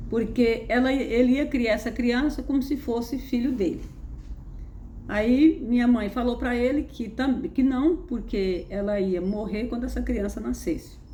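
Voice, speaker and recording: The speech is fairly slow, with noticeable background noise and audible room echo. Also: woman, high pitch for a woman, ordinary pitch variation. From Brazil, interior of Pernambuco. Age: 70s. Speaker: spiritual content creator. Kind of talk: personal testimony. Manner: conversational, halting with repetitions.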